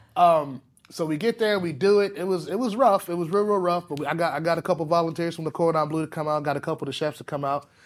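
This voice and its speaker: With an American accent and a high pitch, a man talks very fast with hardly any pauses and ordinary pitch variation, in a very clean recording with a silent background. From US South, Palatka, Florida. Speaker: private chef. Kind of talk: casual interview. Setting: studio. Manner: halting, many fillers and restarts.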